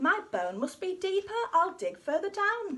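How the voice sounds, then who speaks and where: A woman's put-on character voice, extremely high-pitched and cheerful in tone. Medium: read story. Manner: cheerful, polite.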